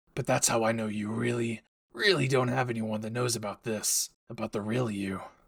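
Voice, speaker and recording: A man puts on a raspy character voice at medium pitch, speaking at a moderate pace. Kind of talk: audio roleplay addressing the listener. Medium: role play. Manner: brash, profane.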